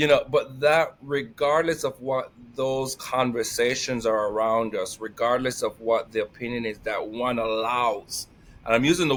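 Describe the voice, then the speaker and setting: The speaker has a Jamaican accent and talks at a fairly slow pace with ordinary pitch variation. The recording is very clean, with a silent background. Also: man. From Jamaica, Saint Mary. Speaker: employment specialist and life coach. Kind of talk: casual interview chat. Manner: energetic.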